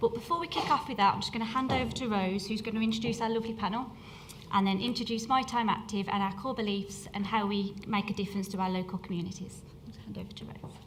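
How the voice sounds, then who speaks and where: A woman with a Midlands accent talks very fast at a medium pitch, her intonation fairly even, with noticeable background noise and audible room echo. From English Midlands. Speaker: weight management programme manager. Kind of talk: conference workshop presentation. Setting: stage with audience.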